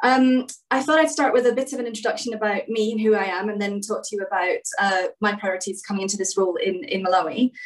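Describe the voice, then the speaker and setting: Speaking at a very fast pace in a Scottish accent, a woman uses a fairly high pitch with ordinary variation. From Scotland, Edinburgh. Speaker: government development director. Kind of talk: formal address. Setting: video call.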